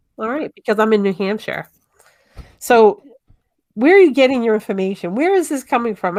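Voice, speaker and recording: Speaking in a Massachusetts accent, a woman with a fairly high pitch moves at a fairly quick pace with lively intonation, broken by long, frequent pauses. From Massachusetts, North Shore (Tewksbury area). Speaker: show guest. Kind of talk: casual chat.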